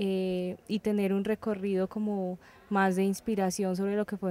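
The woman's dark, mellow voice stays monotone and flat. She speaks at a fairly slow pace in a dry sound with no echo. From Colombia. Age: 20s. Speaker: singer. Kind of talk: interview. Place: street. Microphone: handheld.

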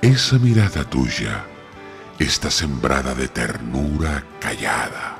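A man speaks at a very slow pace with very wide pitch swings. Music plays in the background. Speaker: poetry reciter. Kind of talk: poetry reading.

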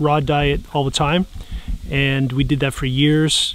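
A man with fairly even intonation, in a dry sound with no echo and light background noise. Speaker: outdoor camping vlogger. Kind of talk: casual vlog chat. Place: forest.

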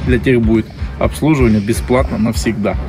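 A man at a very fast pace, clear music in the background. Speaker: village vlogger. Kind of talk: sponsored ad read, casual vlog chat. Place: street. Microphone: camera far.

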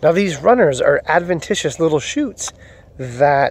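With a dry sound and no echo, a man talks at a fairly slow pace in a high pitch and with lively intonation. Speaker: gardening vlogger. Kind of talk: casual tutorial vlog. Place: forest. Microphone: phone near.

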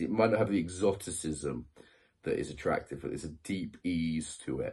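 In a British accent, someone speaks at a fairly quick pace with ordinary pitch variation over a quiet background. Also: man. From UK. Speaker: YouTuber. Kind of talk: video monologue. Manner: casual, conversational. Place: home room. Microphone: phone near.

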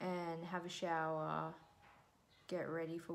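At a very slow pace, a woman speaks with a fairly low pitch and monotone, flat intonation. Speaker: vlogger. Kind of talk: casual vlog chat. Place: home room. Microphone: phone near.

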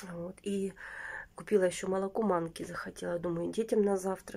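A woman at a fairly quick pace, her intonation monotone and flat. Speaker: lifestyle vlogger; vlogger. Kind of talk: casual vlog monologue. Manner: chatty, filler-heavy. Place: home room. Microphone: phone near.

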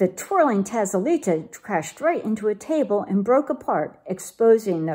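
A natural voice reading aloud.

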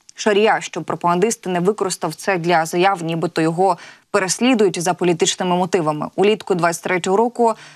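Against a quiet background, a woman talks at a moderate pace with fairly even intonation. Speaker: news anchor. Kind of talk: live news broadcast. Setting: TV studio. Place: studio. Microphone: lapel.

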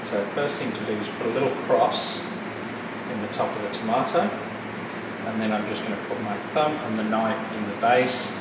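A man speaks at a moderate pace with ordinary pitch variation, amid loud background noise and audible room echo. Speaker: cooking teacher. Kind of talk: tutorial. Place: kitchen. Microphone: camera far.

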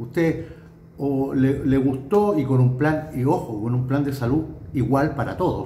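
A man's dark, mellow, somewhat breathy voice, with audible room echo and light background noise. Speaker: political commentator. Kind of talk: political commentary monologue. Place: home room. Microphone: phone near.

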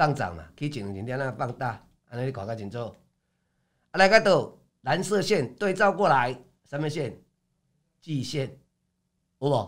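An animated man with a fairly high pitch talks at a fairly slow pace, with very wide pitch swings, big swings in loudness and long, frequent pauses against a quiet background. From Taiwan. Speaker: stock market commentator; stock market analyst. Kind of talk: market analysis livestream; market commentary broadcast. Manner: filler-heavy, frequent 哦 and 啊. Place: studio.

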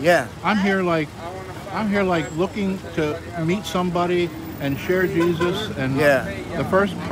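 Speaking at a fairly slow pace, a man is recorded with a dry, echo-free sound and noticeable background noise. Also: ordinary pitch variation. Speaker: street evangelist filming. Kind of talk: casual storytelling. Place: street.

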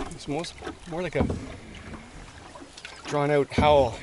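A man's voice, dry and without echo, over noticeable background noise. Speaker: canoe trip vlogger. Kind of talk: casual vlog chat. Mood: relaxed, reflective. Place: boat.

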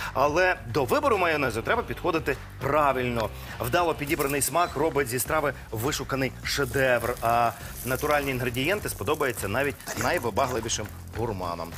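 A man talks at a moderate pace while faint music plays in the background. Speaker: TV show cooking host. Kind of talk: tutorial. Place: studio. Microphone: lapel.

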